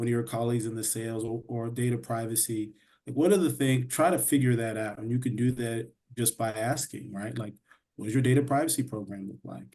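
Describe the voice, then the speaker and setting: At a fairly quick pace, a man of medium pitch speaks in a dark, mellow tone with fairly even intonation. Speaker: in-house counsel panelist. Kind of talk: panel discussion. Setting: video call. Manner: fast.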